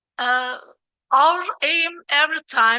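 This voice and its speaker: Raising and projecting her voice, a woman with a Turkish accent speaks in a bright, sharp tone with ordinary pitch variation and a dry, close sound with no echo. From Turkey. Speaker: plant breeder, scientist. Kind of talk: conference presentation. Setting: workshop stage. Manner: halting.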